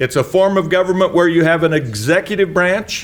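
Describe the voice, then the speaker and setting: A high-pitched man with an American accent at a moderate pace. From Utah, Murray. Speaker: municipal attorney. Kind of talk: lecture.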